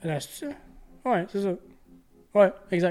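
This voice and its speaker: This man has a Quebec accent. He speaks at a fairly slow pace. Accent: Québécois French. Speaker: podcast host. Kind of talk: casual chat.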